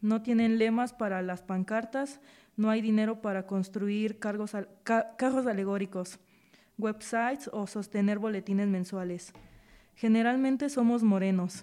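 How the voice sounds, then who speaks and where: Fairly high in pitch, a woman's voice carries a dark, mellow tone at a fairly slow pace. The recording is very clean, with a silent background. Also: fairly even intonation. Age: 20s. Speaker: volunteer audiobook reader. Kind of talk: reading aloud.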